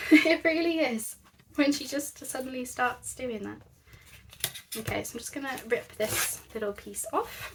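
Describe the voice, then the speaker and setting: A woman with a British accent speaks at a fairly slow pace in a high pitch, her intonation lively and her loudness swinging widely, with noticeable background noise. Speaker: craft youtuber. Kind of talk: craft tutorial. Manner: soft-spoken; quiet. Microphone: quiet, volume boosted in editing.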